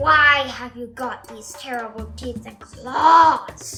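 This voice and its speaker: A woman's put-on character voice, growling at a very slow pace over clear background music. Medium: read story.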